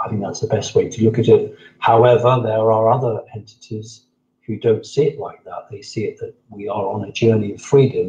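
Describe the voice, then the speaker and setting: Speaking fairly quickly in a southern English accent, a man keeps a medium pitch and fairly even intonation while his loudness swings widely. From southern England, Sussex. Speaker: interviewee on alien contact. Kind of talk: interview.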